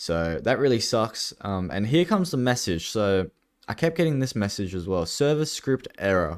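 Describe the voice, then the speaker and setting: Mumbled speech sits on a very clean recording with a silent background. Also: man. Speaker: gaming YouTuber. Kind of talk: gameplay commentary. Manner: mumbling; casual, hesitant with fillers.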